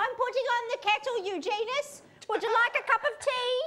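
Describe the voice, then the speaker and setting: A woman does a squeaky, put-on character voice at an extremely high pitch. She keeps a moderate pace with ordinary pitch variation. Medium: stage play. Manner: doting, melodramatic.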